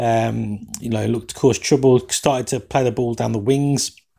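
The voice has a dark, mellow tone and fairly even intonation, with an English accent. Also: man. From England. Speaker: soccer podcast host. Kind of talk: solo podcast match commentary and chat. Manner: fast talker; casual, banter-heavy.

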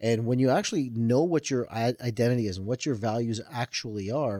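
At a fairly quick pace, an ordinary speaking voice with a Canadian accent and ordinary pitch variation comes through on a very clean recording with a silent background. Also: man. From Toronto, Canada, Indian family. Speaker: author and mind-body coach. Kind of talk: interview.

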